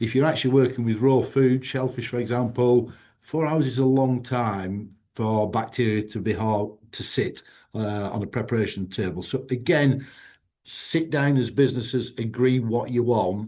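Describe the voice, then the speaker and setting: Against a quiet background, a man with a plain, everyday voice speaks at a medium pitch and a moderate pace with ordinary pitch variation. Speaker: food safety company president. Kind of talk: webinar presentation.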